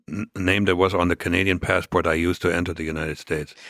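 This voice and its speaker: In a German accent, a man speaks very fast in a very deep, low, monotone, flat voice, the recording very clean with a silent background and a dry, close sound with no echo. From East Germany. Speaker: former spy. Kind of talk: interview. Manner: halting, many fillers.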